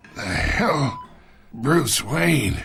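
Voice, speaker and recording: A man uses a put-on character voice with a raspy edge. His pitch sits fairly high. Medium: cartoon. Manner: sneering, smug.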